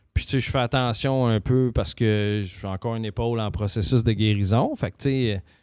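A man speaks in a Quebec accent at a moderate pace. The recording is very clean, with a silent background. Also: medium pitch for a man, fairly even intonation. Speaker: podcast co-host. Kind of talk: casual chat. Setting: studio.

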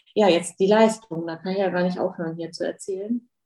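Her voice sits at a medium pitch, and this woman keeps a dark, mellow tone with fairly even intonation. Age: 50s. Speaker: hair and beauty salon owner. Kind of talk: podcast interview.

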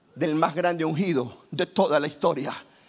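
A man speaks in an animated tone at a fairly high pitch. His pace is fairly slow and his pitch variation ordinary. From Ecuador, Guayaquil. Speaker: pastor. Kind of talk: sermon.

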